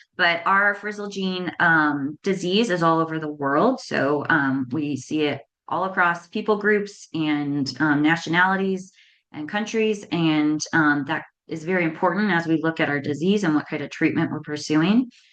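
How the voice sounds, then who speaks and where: The background is quiet. A woman talks at a fairly low pitch with ordinary pitch variation. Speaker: nonprofit co-founder and rare disease parent advocate. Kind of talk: conference presentation. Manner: fast; frequent filler ums.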